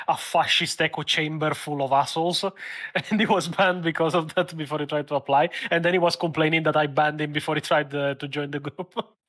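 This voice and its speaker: The man speaks at a very fast pace with a fairly high pitch. His intonation stays monotone and flat. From Italy. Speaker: content creator. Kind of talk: casual chat.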